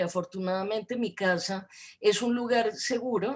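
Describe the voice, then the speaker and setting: A woman speaks in a Bogotá accent at a moderate pace. Her voice is fairly high, with fairly even intonation. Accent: Bogotá Colombian Spanish. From Colombia, Bogotá. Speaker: academic lecturer on gender studies. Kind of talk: lecture. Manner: hesitant, many fillers.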